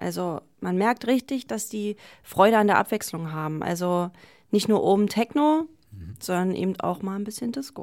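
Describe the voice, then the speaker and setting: A woman's plain, everyday voice at medium pitch, with lively intonation, big swings in loudness and a moderate pace, in a very clean recording with a silent background. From Berlin, Germany. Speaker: DJ. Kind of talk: interview.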